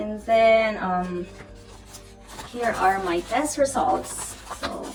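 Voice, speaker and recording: Music plays in the background as a woman speaks at a very slow pace. Her voice is fairly high, with ordinary pitch variation. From Philippines. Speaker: nurse. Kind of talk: casual talk to camera.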